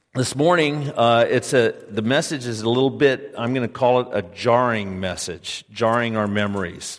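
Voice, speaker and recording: A man talks in a plain, everyday voice at medium pitch and a fairly slow pace, with ordinary pitch variation. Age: 60s. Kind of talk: sermon. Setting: church.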